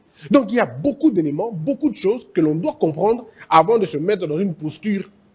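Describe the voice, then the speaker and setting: Animated in tone and lively in intonation, a man speaks at a fairly quick pace in an Équateur accent. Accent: Équateur Lingala. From DR Congo, Équateur province. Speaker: motivational speaker. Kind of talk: motivational talk. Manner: animated, repetitive.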